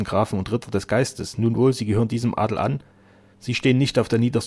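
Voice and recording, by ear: A natural voice reads the text aloud, the intonation holding fairly level.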